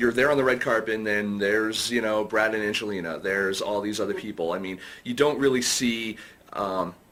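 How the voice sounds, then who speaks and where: Medium-pitched male speech at a moderate pace, with ordinary pitch variation and noticeable background noise. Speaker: film podcast host. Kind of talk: interview. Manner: halting, many fillers.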